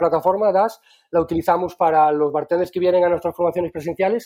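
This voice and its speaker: Speaking at a very fast pace, a man holds a high pitch in a monotone, flat delivery. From Galicia, Spain. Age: 40s. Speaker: bartender trainer and cocktail creator. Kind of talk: casual interview. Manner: halting, many repetitions.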